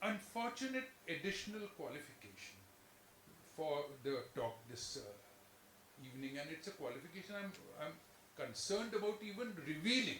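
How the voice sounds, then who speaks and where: Over noticeable background noise and audible room echo, a man speaks at a moderate pace in a high pitch with very wide pitch swings. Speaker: chartered accountant and former auditor. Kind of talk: lecture. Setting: lecture hall with in-person and online audience. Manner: halting, with frequent self-corrections.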